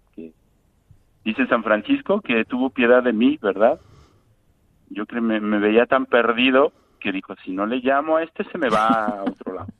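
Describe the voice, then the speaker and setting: A man talks with a Mexican accent and ordinary pitch variation. His loudness swings a lot, and he leaves long, frequent pauses. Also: medium pitch for a man, moderate pace. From Mexico, Guadalajara. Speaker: Franciscan friar and parish priest. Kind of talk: interview. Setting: phone call. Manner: halting.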